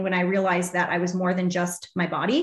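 A woman's somewhat breathy voice sits at medium pitch. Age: 30s. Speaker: fitness coach and business mentor. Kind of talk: casual interview chat. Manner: animated.

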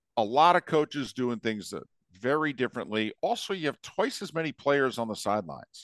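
With an ordinary speaking voice, a man talks at a fairly quick pace and fairly high pitch, his intonation lively, in a dry, close sound with no echo. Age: 50s. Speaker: sports broadcaster. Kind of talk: casual chat.

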